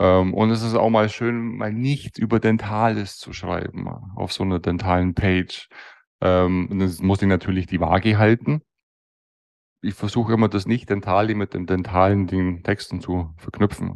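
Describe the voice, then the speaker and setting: Speaking at a moderate pace, the man has a fairly low pitch. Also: fairly even intonation. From Bavaria (Allgäu / Bavarian Swabia). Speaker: master dental technician. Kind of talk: interview.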